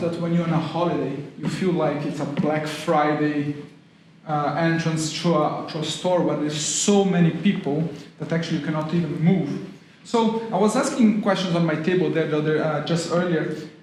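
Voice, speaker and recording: In a Brazilian accent, a man talks at a high pitch and moderate pace with ordinary pitch variation. The audio has noticeable background noise and audible room echo. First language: Portuguese. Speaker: university lecturer in tourism. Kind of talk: public talk.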